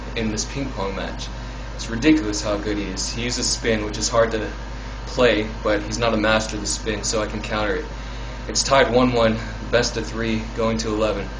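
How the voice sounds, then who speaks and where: Moderate pace over noticeable background noise. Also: man. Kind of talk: casual vlog chat. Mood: nervous, excited. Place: bathroom. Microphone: phone near.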